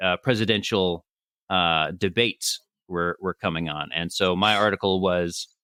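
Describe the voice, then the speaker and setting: In a normal speaking voice, a man talks at a fairly slow pace with fairly even intonation and an American accent. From California. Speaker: satire writer and comedy podcaster. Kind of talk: interview answer.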